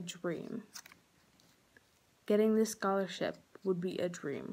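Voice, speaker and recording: A woman speaks at a fairly slow pace with a dark, mellow tone and fairly even intonation. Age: young. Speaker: cosmetology student. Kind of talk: scholarship application video talk to camera. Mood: earnest, heartfelt. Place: home room. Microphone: phone near.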